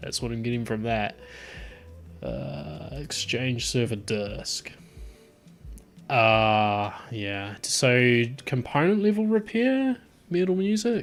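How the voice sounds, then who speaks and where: A man speaks very slowly with a Southland New Zealand accent, leaving long, frequent pauses over music in the background. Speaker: tech streamer. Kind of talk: live stream chat. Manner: casual, hesitant with fillers.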